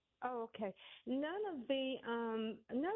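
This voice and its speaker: A woman speaks with ordinary pitch variation. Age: 60s. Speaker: caller. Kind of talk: call-in opinion. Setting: phone call. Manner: halting.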